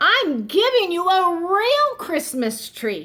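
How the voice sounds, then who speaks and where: In a put-on character voice, the speaker talks at a very slow pace with very wide pitch swings. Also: woman. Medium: read story.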